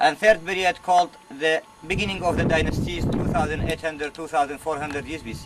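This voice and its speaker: Over noticeable background noise, a man with an Arabic accent talks at a fairly quick pace. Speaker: museum curator and tour guide. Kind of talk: guided tour. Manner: halting, non-native phrasing.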